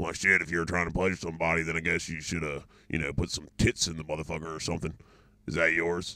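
Using a put-on character voice, a man rattles off words at a very fast pace in a very deep, low pitch with monotone, flat intonation. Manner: blunt, dismissive, profane.

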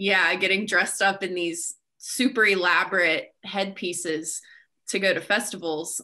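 A woman speaks with a bright, sharp tone. The background is quiet. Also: fairly even intonation, fairly slow pace. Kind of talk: group discussion. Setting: video call. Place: home room. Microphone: video call.

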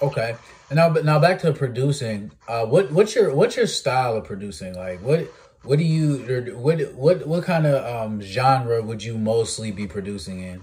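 Animated and somewhat breathy, a man at medium pitch talks at a moderate pace with very wide pitch swings. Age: 20s. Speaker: podcast host. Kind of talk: casual interview.

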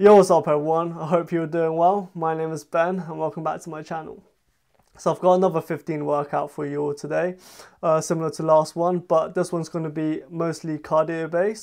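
A man talks at a fairly quick pace in a monotone, flat delivery against a quiet background. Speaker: fitness youtuber. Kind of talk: casual vlog chat. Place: home room. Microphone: camera far.

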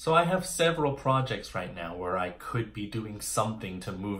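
With lively intonation, a man speaks at a moderate pace. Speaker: playwright vlogger. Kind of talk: casual vlog chat. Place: home room. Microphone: phone near.

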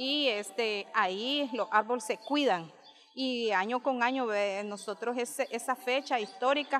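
A woman speaks with a high pitch. There is light background noise. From Nicaragua. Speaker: mayor. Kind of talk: interview. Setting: outdoors. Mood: proud, grateful. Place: garden. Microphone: handheld.

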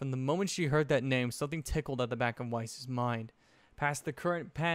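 The text is read aloud plainly. Pitch moves up and down in an ordinary way.

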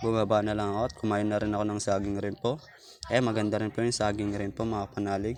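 Over noticeable background noise, a man with a fairly low pitch talks at a very fast pace with fairly even intonation. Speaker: YouTuber on spiritual practices. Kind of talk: casual vlog. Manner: halting.

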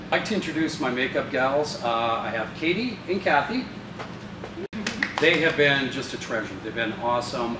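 Noticeable noise sits behind a man who speaks at a moderate pace. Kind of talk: casual introduction to camera. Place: hall. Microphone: camera far.

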